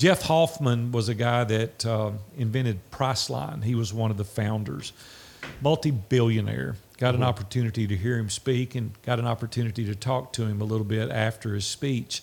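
In an American accent, a man speaks at a medium pitch with ordinary pitch variation in a normal speaking voice. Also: fairly quick pace. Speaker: entrepreneur. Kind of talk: interview. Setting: video call.

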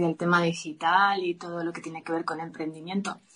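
Over music in the background, a woman with a fairly low pitch talks at a moderate pace in a monotone, flat intonation. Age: 40s. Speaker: yoga teacher and entrepreneur. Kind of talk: interview.

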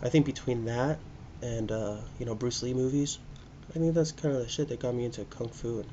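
Somewhat breathy and at a medium pitch, a man talks with an American accent. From US Pacific Northwest (Spokane, Washington). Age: 30s. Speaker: podcast host, restaurant worker. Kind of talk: solo casual monologue. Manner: rambling, halting with fillers.

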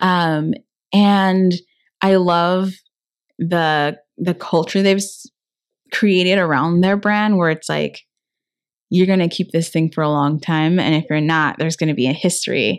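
With an American accent, a woman speaks at a fairly low pitch and fairly slow pace, using fairly even intonation and long, frequent pauses over a quiet background. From Inland Empire, Southern California. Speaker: alterations business founder. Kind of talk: interview.

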